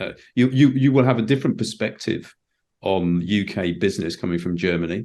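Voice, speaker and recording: With a British accent, the speaker moves at a fairly quick pace, using a dark, mellow tone and lively intonation. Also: man, fairly low pitch for a man. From Britain. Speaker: podcast host. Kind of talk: podcast interview.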